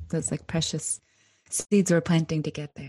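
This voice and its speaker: Her pitch very deep and low, a woman speaks in a somewhat breathy voice with fairly even intonation. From Alaska, Anchorage. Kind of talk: interview.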